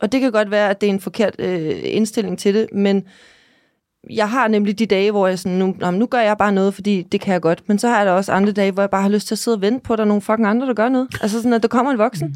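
Speaking at a very fast pace, a woman with a medium pitch and ordinary pitch variation keeps her loudness very even, in a dry, close sound with no echo on a very clean recording with a silent background. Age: 30s. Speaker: podcast host and influencer. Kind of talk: casual chat.

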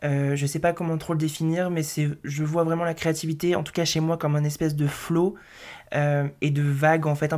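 A man's fairly high voice in a monotone, flat intonation at a moderate pace, on a very clean recording with a silent background. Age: 20s. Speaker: graphic designer and podcast host. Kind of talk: solo monologue podcast, casual personal talk. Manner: casual, hesitant with many fillers.

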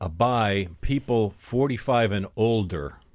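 Heard in a very clean recording with a silent background, a man with a normal speaking voice talks at a medium pitch with ordinary pitch variation. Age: 50s. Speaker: executive coach and business show host. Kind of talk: radio panel discussion. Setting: radio studio.

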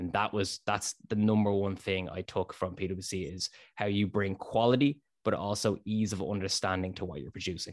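Behind the voice, the background is quiet. The intonation changes only a little, staying fairly even. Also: man, fairly low pitch for a man, moderate pace. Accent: Dublin. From Ireland, south Dublin suburbs. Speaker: finance content creator. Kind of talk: interview.

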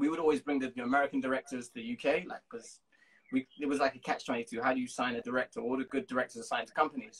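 Very fast speech in a London accent, with very wide pitch swings and a dry, close sound with no echo. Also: man, fairly high pitch for a man. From London, England. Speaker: music video and TV producer. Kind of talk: casual interview. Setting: Instagram live call.

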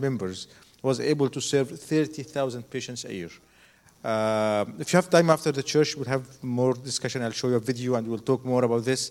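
Speaking in an Arabic accent, a man uses a medium pitch, ordinary pitch variation and a moderate pace. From Egypt. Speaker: doctor, hospital founder. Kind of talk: testimony. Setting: church.

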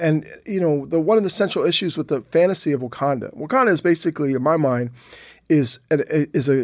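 A man with a fairly high pitch talks very fast with lively intonation. The recording is very clean, with a silent background. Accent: American. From US Northeast, Philadelphia. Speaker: novelist and comic book writer. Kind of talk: interview. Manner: halting.

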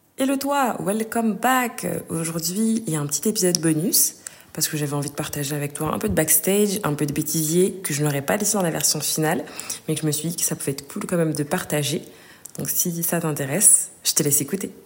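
Over noticeable background noise, a woman talks with fairly low pitch and lively intonation. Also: fairly quick pace. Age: young. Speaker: podcast host. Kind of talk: casual chat. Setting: outdoors.

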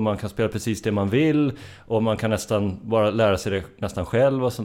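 A fairly low-pitched male voice with a dark, mellow tone, moderate pace, and a very clean recording with a silent background. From Sörmland, Sweden (Strängnäs). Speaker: musician in a band. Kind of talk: casual interview.

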